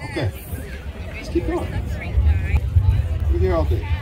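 A man's speech is backed by clear music. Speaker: event emcee. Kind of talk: raffle announcing. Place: stage. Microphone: pa.

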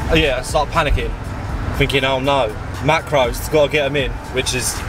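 With music in the background and a dry sound with no echo, a man speaks at a moderate pace. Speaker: vlogger driving. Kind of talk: casual vlog chat. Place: car. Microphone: phone near.

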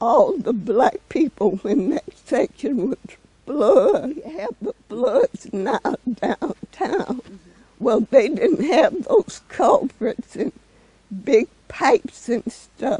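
A woman's high-pitched voice at a very slow pace, with very wide pitch swings and a dry sound with no echo. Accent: American. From Hot Springs, Arkansas. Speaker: housewife and mother. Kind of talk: oral history interview answer. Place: garden.

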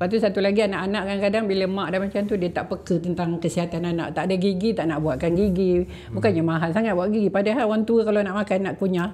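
Almost without pausing, a woman talks at a very fast pace with a medium pitch and fairly even intonation. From Kapar, Selangor, Malaysia; Selangor, Malaysia. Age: 70s. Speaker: senior citizens club leader; podcast guest. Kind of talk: casual interview. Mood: earnest, advising. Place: studio. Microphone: studio mic.

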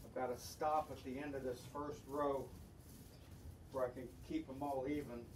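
A man talks in a monotone, flat intonation with long, frequent pauses, with audible room echo and light background noise. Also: moderate pace. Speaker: hobbyist boat builder. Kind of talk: woodworking tutorial. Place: garage. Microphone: camera far.

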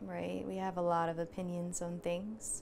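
A woman speaks at a fairly low pitch in a calm, soothing tone over light background noise. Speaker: meditation instructor. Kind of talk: guided meditation. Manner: slow, calm, soothing. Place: home room.

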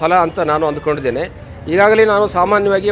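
There is noticeable background noise behind this man. His voice is high, with ordinary pitch variation. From North Karnataka, Belagavi district. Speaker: Sanskrit scholar and teacher. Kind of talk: interview.

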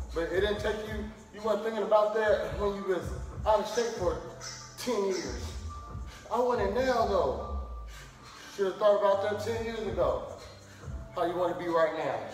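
A man at a moderate pace with long, frequent pauses, audible room echo, and faint music in the background. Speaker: fitness instructor. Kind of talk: workout instruction with banter. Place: gym. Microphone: camera far.

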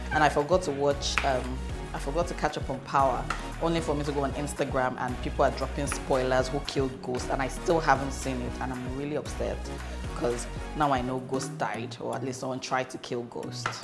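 A woman at a fairly quick pace, with clear music in the background. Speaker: cooking vlogger. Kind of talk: casual cooking vlog chat. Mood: cheerful, chatty. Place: kitchen.

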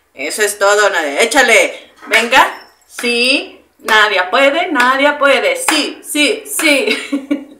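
Raised, projected woman's voice at high pitch with very wide pitch swings, a very slow pace, hardly any pauses, and light background noise. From Mexico, Irapuato (Guanajuato). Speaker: streamer. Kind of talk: casual chat. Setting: live stream. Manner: animated. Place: kitchen.

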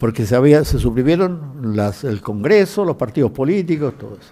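Against a quiet background, a man talks at a moderate pace with a dark, mellow tone. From Chile. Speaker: cardiologist and witness; speaker, witness. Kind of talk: testimony. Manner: halting. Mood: calm, reflective recollection. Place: hall. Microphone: podium.

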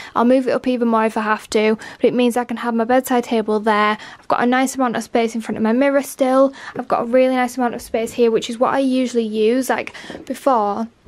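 A woman's high-pitched voice, monotone with flat intonation, at a very fast pace. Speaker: lifestyle vlogger. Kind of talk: casual vlog chat. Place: home room. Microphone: phone near.

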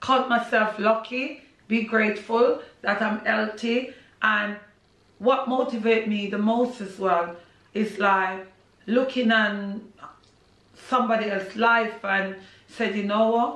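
A woman with a Jamaican accent talks at a fairly slow pace with long, frequent pauses. Her fairly high voice keeps fairly even intonation, and audible room echo surrounds it. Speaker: social media personality and Caribbean food business owner. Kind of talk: casual interview. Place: home room. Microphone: camera far.

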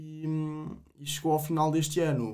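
Against a quiet background, a man is speaking. His pace is moderate. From Portugal, Coimbra; Portugal. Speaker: agronomy student, wine association president; podcast guest. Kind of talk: casual interview. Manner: halting, many repetitions. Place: studio. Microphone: studio mic.

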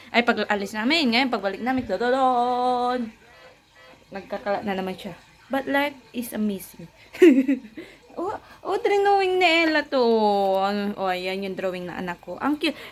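Speaking at a fairly slow pace with long, frequent pauses, a woman with a fairly high pitch makes very wide pitch swings. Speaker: family vlogger. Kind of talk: casual vlog talk. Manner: animated.

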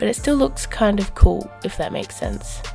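Music in the background behind a woman's moderately paced speech. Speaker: artist. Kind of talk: casual art commentary. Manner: hesitant, filler-heavy.

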